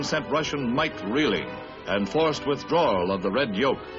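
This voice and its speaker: A man's fairly high voice with lively intonation, music in the background. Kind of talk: newsreel narration. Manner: dramatic, urgent.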